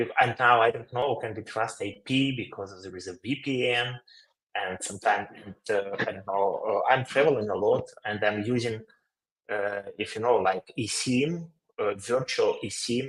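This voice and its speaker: A man speaks with a Ukrainian accent at a medium pitch and a moderate pace. His intonation is fairly even, while his loudness swings widely. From Ukraine. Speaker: company CEO, webinar co-host. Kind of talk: webinar Q&A. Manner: halting, many fillers.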